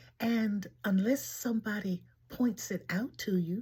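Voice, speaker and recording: A woman with an American accent has a dark, mellow tone. Her voice is somewhat breathy. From Washington, D.C., US. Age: 80s+. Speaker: elder sharing life memories. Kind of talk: personal storytelling monologue.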